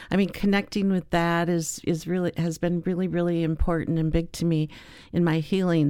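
A woman speaks in a fairly low, dark, mellow tone at a moderate pace. Her intonation is monotone and flat, and the recording is very clean with a silent background. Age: 60s. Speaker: doll maker and peace activist. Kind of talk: casual interview. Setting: studio. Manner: halting.

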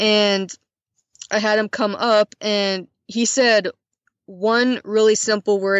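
A woman with a medium-pitched voice and an American accent speaks in a flat, monotone way. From Montana, US. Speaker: Peace Corps volunteer, English co-teacher. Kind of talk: casual interview. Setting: remote call from Mongolia.

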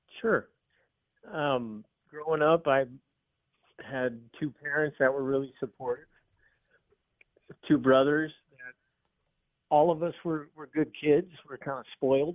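A man talks at a fairly slow pace with fairly high pitch and fairly even intonation. His loudness swings widely, and his pauses are long and frequent. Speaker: guest sharing recovery story. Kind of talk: interview testimony. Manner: calm; serene.

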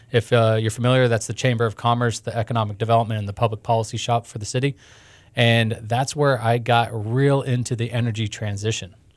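A man speaks very fast in a monotone, flat intonation, captured in a very clean recording with a silent background. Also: medium pitch for a man. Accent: American. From Houston, Texas. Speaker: startup ecosystem director. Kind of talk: interview. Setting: studio.

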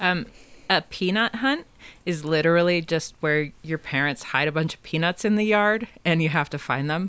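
This woman has an unremarkable speaking voice, fairly low in pitch. She talks at a moderate pace with ordinary pitch variation. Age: 40s. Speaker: podcast guest, former babysitter. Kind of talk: casual chat.

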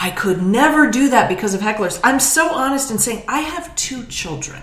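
Amid noticeable background noise and audible room echo, a woman speaks in a high voice with very wide pitch swings. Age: 50s. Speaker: comedian. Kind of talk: casual chat.

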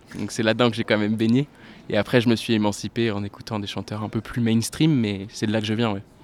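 A man speaks very fast in a fairly low, flat monotone on a very clean recording with a silent background. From France, La Rochelle. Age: 20s. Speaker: singer-songwriter. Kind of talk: interview.

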